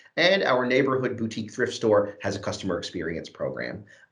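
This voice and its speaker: There is audible room echo around a man speaking at a very fast pace. His pitch is medium and his intonation lively. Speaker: youth training program lead. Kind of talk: presentation at an online event. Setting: video call.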